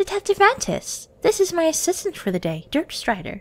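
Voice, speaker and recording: A woman's put-on character voice, squeaky and extremely high, with a cheerful tone at a moderate pace. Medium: audio drama. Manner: cheerful, slightly unstable.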